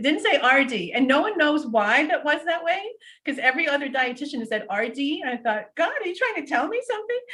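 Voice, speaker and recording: Bright and sharp in tone, a woman projects a raised, high-pitched voice at a fairly quick pace, her pitch swinging very widely. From US, Portuguese-Azorean immigrant family. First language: Portuguese. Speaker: physician and dietitian. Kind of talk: interview.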